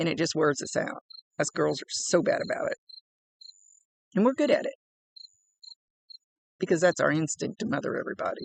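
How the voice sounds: In a raspy, put-on character voice, a man talks at a fairly quick pace with long, frequent pauses, in a dry, close sound with no echo.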